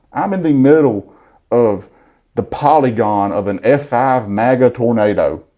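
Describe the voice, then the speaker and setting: Speaking at a fairly slow pace in a Southern US accent, a man uses a medium pitch, ordinary pitch variation and a dark, mellow tone. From Alabama. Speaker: content creator. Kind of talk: interview answer. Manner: funny, honest.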